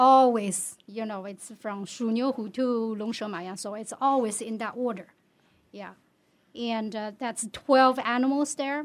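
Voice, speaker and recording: In a very clean recording with a silent background, a woman with a Chinese accent talks fairly slowly at a fairly high pitch, her loudness swinging widely. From China. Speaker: community member. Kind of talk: casual chat.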